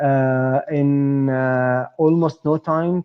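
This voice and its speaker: A man with an Arabic accent speaks at a medium pitch in a monotone, flat intonation. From Palestine. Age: 40s. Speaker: startup co-founder and entrepreneur. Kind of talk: interview. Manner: halting, many fillers.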